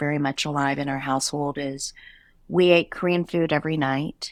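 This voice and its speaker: A woman talks at a moderate pace in an ordinary speaking voice with ordinary pitch variation. The recording is very clean, with a silent background and a dry, close sound with no echo. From USA, immigrated from Korea as a toddler. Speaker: retail company CEO. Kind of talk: interview conversation.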